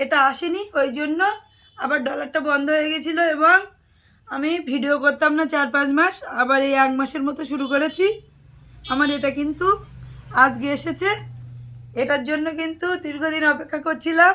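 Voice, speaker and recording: In a raised, projected voice, a woman speaks with a high pitch and fairly even intonation. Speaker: vlogger and sari shop owner. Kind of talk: casual vlog talk to camera.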